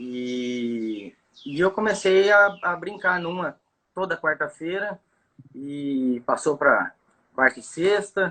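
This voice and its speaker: Very slow and marked by long, frequent pauses, a man's high-pitched voice carries lively intonation. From Brazil, Campo Grande, Mato Grosso do Sul. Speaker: bass fishing guide. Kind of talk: casual chat. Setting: live video call. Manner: halting, many fillers.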